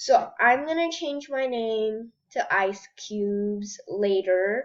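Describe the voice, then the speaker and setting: Her pitch is fairly high for a woman. The intonation is lively. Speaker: gaming YouTuber. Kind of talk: gameplay commentary. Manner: hesitant, many fillers.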